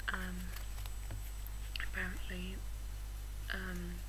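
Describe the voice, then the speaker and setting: Loud background noise surrounds a woman who talks very slowly. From England. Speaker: ASMR video maker. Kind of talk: ASMR soft-spoken unboxing.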